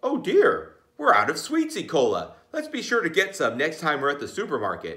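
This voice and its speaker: Put-on character voice from a man, high-pitched, at a moderate pace with hardly any pauses. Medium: read story.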